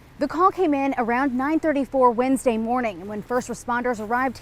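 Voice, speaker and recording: Lively intonation marks this woman's high-pitched voice at a fairly quick pace. There is noticeable background noise. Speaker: TV news reporter. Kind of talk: TV news report.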